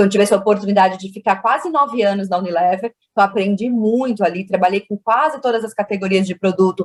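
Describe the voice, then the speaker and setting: In a São Paulo accent, a woman speaks at medium pitch and a fairly quick pace with ordinary pitch variation, the sound dry and close with no echo. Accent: São Paulo (paulistano), picked up over years. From Minas Gerais, Brazil (Uberaba). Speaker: marketing executive. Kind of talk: interview.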